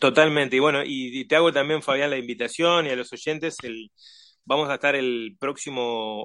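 A man at a medium pitch and moderate pace, with ordinary pitch variation against a quiet background. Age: 40s. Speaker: author and musician. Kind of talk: interview. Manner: halting, many fillers.

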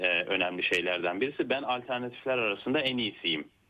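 The man's pitch is medium. His intonation is lively. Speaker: political scientist. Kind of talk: interview. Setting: remote call. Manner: hesitant, many fillers. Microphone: connection dropped.

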